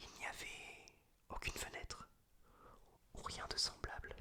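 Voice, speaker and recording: Whispered male voice. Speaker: ASMR creator. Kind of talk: whispered reading of a story he wrote. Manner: whispered, soft.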